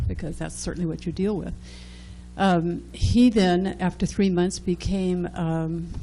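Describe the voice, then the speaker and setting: A woman at a moderate pace with audible room echo. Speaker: former downtown association manager. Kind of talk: presentation at public meeting.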